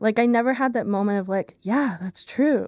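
At a fairly quick pace, a woman talks with fairly even intonation in a normal speaking voice, the sound dry and close with no echo. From Pennsylvania, Lehigh Valley. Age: 20s. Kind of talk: testimony interview. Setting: studio.

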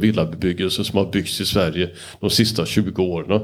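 This man has an unremarkable speaking voice, ordinary pitch variation and a moderate pace. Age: 60s. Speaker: moderator. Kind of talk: panel discussion.

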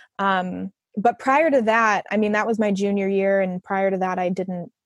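A woman talks in a normal speaking voice at medium pitch. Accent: American. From Chicago area, Illinois. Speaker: user experience designer. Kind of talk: casual interview.

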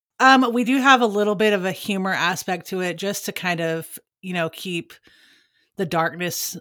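In a Texan accent, a bright, sharp tone moves at a moderate pace with ordinary pitch variation, recorded very cleanly over a silent background. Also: woman. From Texas. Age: 30s. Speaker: true crime podcast co-host. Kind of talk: casual interview. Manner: hesitant, many fillers.

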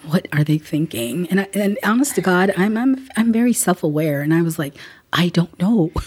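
A woman speaks in a normal speaking voice with an American accent, pitched fairly low. Her pace is moderate and her pitch varies an ordinary amount. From South Central Los Angeles, from Guatemala. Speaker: legal aid executive director. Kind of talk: interview conversation.

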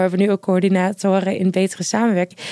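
A woman with a medium pitch talks at a fairly quick pace in an ordinary speaking voice. The sound is dry and close, with no echo. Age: 20s. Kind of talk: casual interview.

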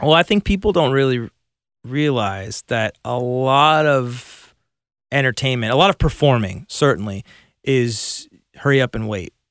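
A man speaks with a Californian accent at a medium pitch and a fairly slow pace, with lively intonation. The recording is very clean, with a silent background and a dry, close sound with no echo. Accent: General American (Californian). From Burbank, Los Angeles, US West Coast. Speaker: guitarist. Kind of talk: casual chat. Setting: studio.

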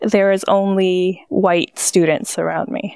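The woman's voice sits at a medium pitch. The sound is dry and close, with no echo. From Los Angeles, California. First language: Spanish. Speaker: coffee company founder. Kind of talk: interview, conversational storytelling.

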